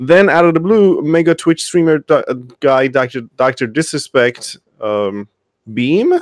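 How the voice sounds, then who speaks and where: Speaking fairly slowly with lively intonation, a man in a plain, everyday voice has a fairly high pitch, recorded with a dry, close sound and no echo. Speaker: podcast co-host. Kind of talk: casual chat. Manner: joking.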